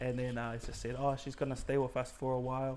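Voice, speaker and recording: A man speaks in a New Zealand accent. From New Zealand, Auckland. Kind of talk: testimony interview.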